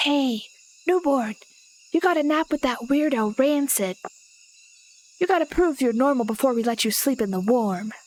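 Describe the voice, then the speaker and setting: In a put-on character voice, a woman hisses at a high pitch, speaking at a moderate pace with long, frequent pauses. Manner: hissing, taunting.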